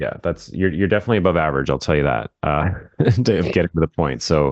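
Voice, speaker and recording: A man with a very deep, low pitch talks at a very fast pace, showing vocal fry and lively intonation. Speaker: real estate marketing coach. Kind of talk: casual interview.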